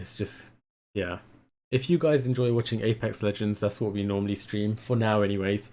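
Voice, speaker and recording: A man's dark, mellow voice, fairly low in pitch, at a fairly quick pace with ordinary pitch variation, on a very clean recording with a silent background. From London, England. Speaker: streamer. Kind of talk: casual live stream commentary. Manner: hesitant, many fillers.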